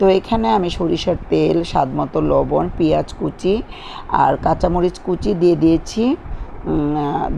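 Light background noise under a woman's voice. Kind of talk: cooking tutorial narration. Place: kitchen.

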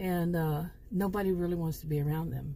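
This woman's voice is somewhat breathy, with a dark, mellow tone. She speaks at a moderate pace and a medium pitch. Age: 50s. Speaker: YouTuber telling fictional stories. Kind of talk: casual monologue to camera. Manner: halting with many fillers.

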